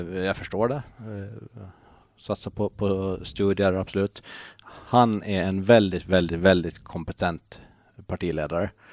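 A man speaks very slowly in a very deep, low voice with fairly even intonation. The sound is dry and close with no echo, and the recording is very clean over a silent background. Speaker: local politician and blogger. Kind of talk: casual chat.

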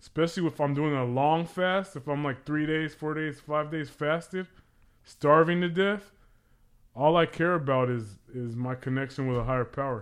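Speaking at a moderate pace, a man with an American accent uses a fairly high pitch and ordinary pitch variation. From Pacoima, Los Angeles. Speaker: recovering alcoholic, sobriety group member. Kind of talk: casual podcast conversation. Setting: studio. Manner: loud; militant, hard.

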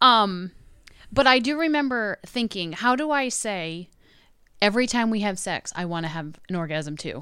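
A woman speaks loudly at a moderate pace in a bright, sharp, medium-pitched voice. Her pitch swings very widely. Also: very clean recording, silent background. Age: 40s. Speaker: podcast guest, mother. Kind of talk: casual chat.

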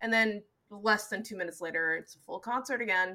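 A woman speaks at a moderate pace with an American accent and a fairly high pitch. Her tone is bright and sharp, with ordinary pitch variation. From Seattle, Washington. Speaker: podcast co-host and editor. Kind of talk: casual chat. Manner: filler-heavy, lots of 'like' and laughing.

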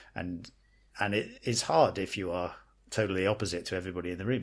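In an American accent, a man with a very deep, low pitch speaks at a very fast pace with fairly even intonation. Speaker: podcast co-host. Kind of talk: casual chat. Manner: halting, hesitant.

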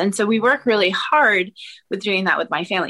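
With an American accent, a woman talks at a fairly quick pace in a bright, sharp tone. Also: dry, close sound with no echo. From Maine, US. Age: 40s. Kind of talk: casual chat.

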